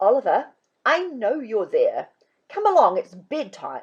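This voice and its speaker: Using a put-on character voice, a woman speaks at a fairly slow pace with a high pitch. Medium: read story.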